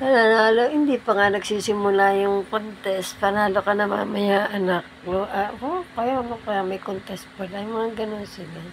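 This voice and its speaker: Speaking at a moderate pace with hardly any pauses, a woman with a medium-pitched voice keeps her intonation fairly even over noticeable background noise. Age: 70s. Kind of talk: casual talk to camera.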